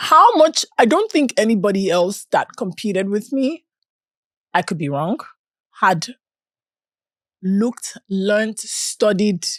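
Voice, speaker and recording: A woman with a non-native accent speaks at a fairly slow pace with long, frequent pauses. Her fairly high pitch swings very widely, in a dry, close sound with no echo. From Nigeria. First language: not English. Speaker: beauty pageant winner. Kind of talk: casual interview chat.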